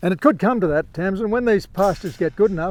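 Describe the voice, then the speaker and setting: Talking at a fairly quick pace, a man with an Australian accent uses a high pitch, the sound dry and close with no echo. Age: 70s. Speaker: farmer. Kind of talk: casual chat. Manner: halting.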